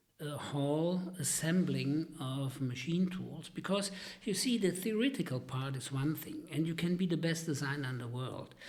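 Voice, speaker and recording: Moderate pace with hardly any pauses, ordinary pitch variation and audible room echo. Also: man, fairly high pitch for a man. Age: 70s. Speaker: retired engineer. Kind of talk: interview storytelling. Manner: halting, many fillers.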